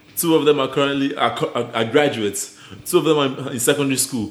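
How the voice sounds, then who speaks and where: A man's medium-pitched voice at a fairly quick pace, amid noticeable background noise. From Nigeria. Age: young. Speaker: podcast guest. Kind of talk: casual chat.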